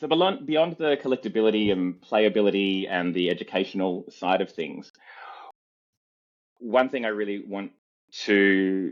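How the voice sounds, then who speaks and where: With an Australian accent, a man speaks at a moderate pace in a fairly low pitch, using lively intonation and long, frequent pauses. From Australia, southwestern Sydney. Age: 40s. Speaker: comedian. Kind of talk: interview.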